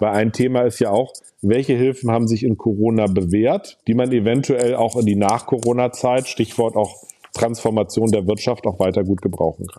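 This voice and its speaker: A man speaks at medium pitch and a moderate pace. His intonation stays fairly even. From Hamburg, northern Germany. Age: 40s. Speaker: state finance minister, politician. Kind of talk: interview. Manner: hesitant fillers.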